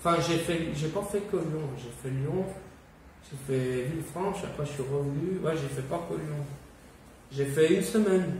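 Amid audible room echo and light background noise, a man with a fairly high pitch speaks at a fairly slow pace with ordinary pitch variation and long, frequent pauses. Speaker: YouTuber, survivalist; vlogger. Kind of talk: casual video monologue. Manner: casual, hesitant. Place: home room. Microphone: camera far.

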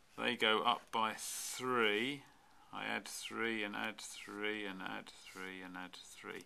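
Bright and sharp in tone, a man's voice shows ordinary pitch variation. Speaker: maths teacher. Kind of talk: tutorial. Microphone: camera far.

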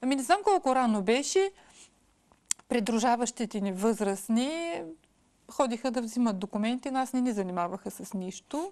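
A woman's pitch swings very widely as she keeps to a moderate pace. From Bessarabian Bulgarian village, Odesa region, Ukraine; Ukraine. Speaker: educator and mother; educator. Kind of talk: interview. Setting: studio. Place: studio.

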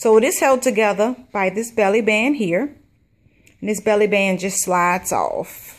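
Pitch shifts in an ordinary way for this woman. She talks at a fairly slow pace. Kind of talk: craft show-and-tell. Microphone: camera far.

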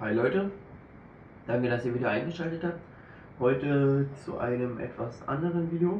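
A man with a fairly high pitch and ordinary pitch variation speaks at a moderate pace, leaving long, frequent pauses. Light background noise and audible room echo are present. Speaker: YouTuber, shisha reviewer. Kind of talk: unboxing video. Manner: casual, informal. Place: home room. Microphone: camera far.

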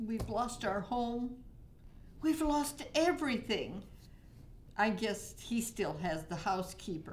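With very wide pitch swings, a woman speaks at a very slow pace. Light background noise can be heard. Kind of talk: scripted dialogue, conversational. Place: meeting room.

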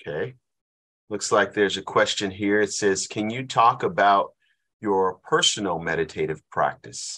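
A man's bright, sharp voice of fairly low pitch, with ordinary pitch variation and a moderate pace. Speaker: class host, leads prayer; presenter. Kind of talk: prayer and introduction; webinar Q&A talk. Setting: online class, video call. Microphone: video call.

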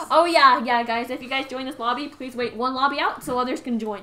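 Over noticeable background noise, a woman with a high pitch speaks in a raised, projected voice at a fairly quick pace. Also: fairly even intonation, big swings in loudness. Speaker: game streamer. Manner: fast talker.

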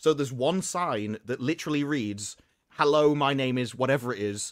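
An ordinary speaking voice talks at a moderate pace with ordinary pitch variation, in a dry, close sound with no echo. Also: man. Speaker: podcast panelist. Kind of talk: casual chat.

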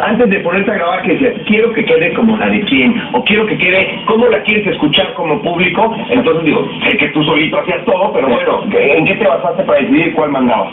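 Hardly any pauses, under loud background noise. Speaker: TV show co-host. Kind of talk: TV interview host. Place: studio.

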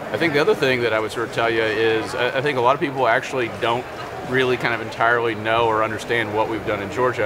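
Very fast speech from a man, noticeable background noise beneath it. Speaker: guest. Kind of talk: interview answer.

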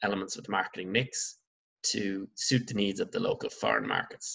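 A man speaks with an Irish accent. His pace is moderate. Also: quiet background. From Ireland. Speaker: secondary school business teacher. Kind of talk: online lecture. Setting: recorded remote lesson over slides. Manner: halting, many fillers. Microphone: webcam.

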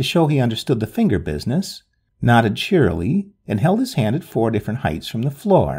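Quiet background behind a natural reading voice

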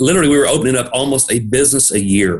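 A man speaks in a Tennessee accent with ordinary pitch variation. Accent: Southern US (Tennessee). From Middle Tennessee, US South. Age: 50s. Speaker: pharmacist and state senate candidate. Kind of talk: interview.

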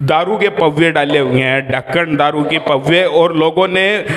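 A man's fairly slow delivery with ordinary pitch variation. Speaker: local news reporter. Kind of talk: field news report. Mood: indignant, critical. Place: bathroom. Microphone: handheld.

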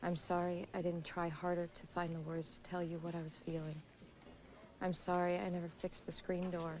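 Against light background noise, a woman with a fairly low pitch speaks fairly quickly in a flat monotone, with a dry sound and no echo. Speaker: actress as newspaper researcher. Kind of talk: reading a letter aloud in a film scene. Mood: moved, tender, subdued. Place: office.

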